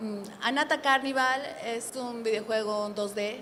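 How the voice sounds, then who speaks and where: A woman with a Spanish accent, audible room echo and noticeable background noise. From Bolivia. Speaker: game developer. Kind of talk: conference panel introduction.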